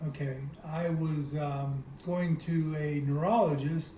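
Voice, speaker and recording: Amid noticeable background noise and audible room echo, a man talks at a fairly high pitch with fairly even intonation. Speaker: husband living with Parkinson's, video series host. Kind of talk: casual chat. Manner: halting.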